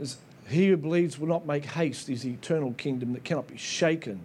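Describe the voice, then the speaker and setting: A dark, mellow tone at a fairly quick pace, with audible room echo. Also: man. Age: 50s. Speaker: pastor. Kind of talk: sermon. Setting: church. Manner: animated.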